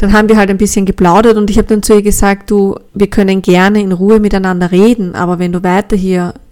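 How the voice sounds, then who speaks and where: The voice has a dark, mellow tone and monotone, flat intonation, moving at a fairly quick pace. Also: woman. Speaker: podcast host. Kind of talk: personal testimony.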